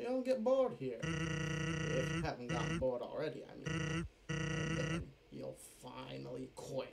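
Putting on a character voice at a fairly high pitch, a man speaks at a moderate pace over clear background noise. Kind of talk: fan voiceover of game dialogue. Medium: solo performance. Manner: laid-back, teasing, quietly menacing.

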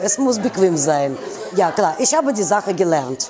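Crowd noise fills the background as a woman with a Russian accent speaks with very wide pitch swings. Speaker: fashion designer. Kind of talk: interview. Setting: in her store. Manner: animated. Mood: warm, enthusiastic. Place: shop.

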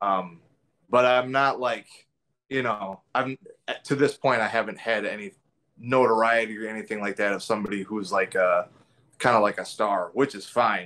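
There are long, frequent pauses as a man talks at a moderate pace. His intonation is fairly even. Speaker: remote interviewee. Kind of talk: interview answer. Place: kitchen. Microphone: video call.

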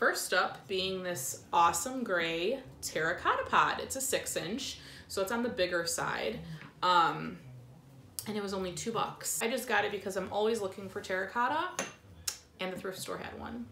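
There is audible room echo and light background noise. A woman is speaking. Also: ordinary pitch variation, moderate pace. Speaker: plant vlogger. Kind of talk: casual haul vlog chat. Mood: cheerful, excited. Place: home room. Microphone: camera far.

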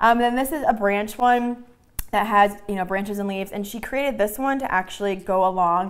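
Ordinary pitch variation from a woman talking at a fairly quick pace. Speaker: craft show host. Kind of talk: product demo chat. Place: studio.

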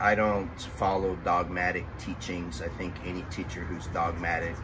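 Loud background noise around a man's moderate pace. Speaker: fitness instructor. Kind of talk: tutorial explanation. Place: garden.

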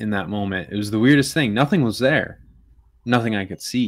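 A man with an American accent speaks with ordinary pitch variation. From US Midwest. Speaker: military service member and drone hobbyist; guest. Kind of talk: casual chat. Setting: video call. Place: home room.

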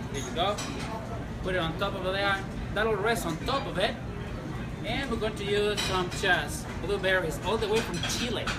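Against loud background noise, a man speaks at a moderate pace with long, frequent pauses. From Chile. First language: Spanish. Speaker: sommelier. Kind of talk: cocktail-making tutorial. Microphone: lapel.

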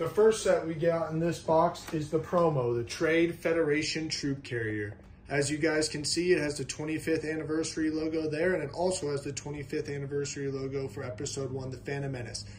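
A man's fairly quick, evenly intoned speech with hardly any pauses, over light background noise. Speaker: toy collector vlogger. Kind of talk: casual unboxing commentary. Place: home room. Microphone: phone near.

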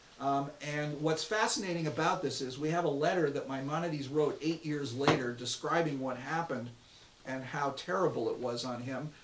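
A man talks with ordinary pitch variation amid light background noise and audible room echo. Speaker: rabbi teaching a course. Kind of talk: lecture. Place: office.

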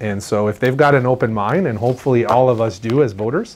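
A man talks at a fairly quick pace, his pitch varying in an ordinary way, while light background noise sits underneath. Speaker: marine technician host. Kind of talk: explanatory Q&A talk to camera. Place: studio. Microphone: lapel.

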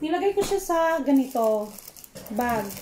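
Light background noise sits behind the recording. A woman with a high pitch speaks at a very slow pace. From Philippines, Davao; Philippines. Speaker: food vlogger. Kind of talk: casual vlog, eating and cooking talk. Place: kitchen. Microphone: phone near.

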